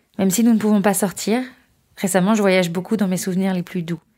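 Over a silent background in a very clean recording, a woman with a dark, mellow tone speaks at a fairly quick pace with ordinary pitch variation. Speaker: volunteer letter reader. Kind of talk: reading a letter aloud.

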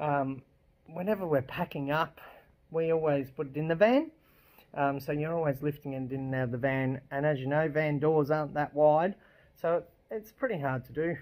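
The man's pitch shifts in an ordinary way, and he keeps a moderate pace. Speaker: caravan travel vlogger. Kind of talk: casual vlog chat. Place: garage. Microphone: phone near.

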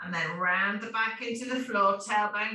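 With a British accent, a woman speaks in a calm tone at a moderate pace, and audible room echo surrounds her voice. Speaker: fitness instructor. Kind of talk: guided exercise class. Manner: calm, rhythmic, steady cueing; instructional, repetitive commands. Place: home room. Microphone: camera far.

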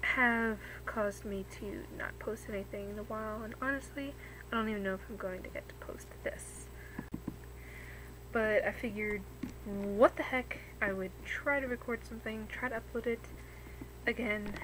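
Noticeable background noise around a woman's moderate pace, broken by long, frequent pauses. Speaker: vlogger. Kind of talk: casual vlog chat. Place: home room. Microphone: webcam.

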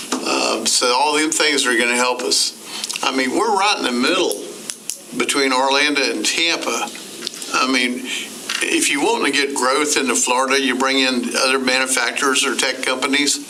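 His loudness stays very even as a man talks at a moderate pace, with audible room echo and noticeable background noise. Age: 60s. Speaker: applicant for city commission seat. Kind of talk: interview. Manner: rambling, halting.

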